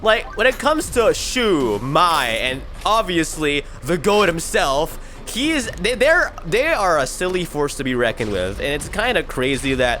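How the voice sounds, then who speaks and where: Music plays in the background while a man talks fairly slowly. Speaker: anime reviewer. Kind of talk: unscripted video review. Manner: halting, self-described stuttering; casual, animated.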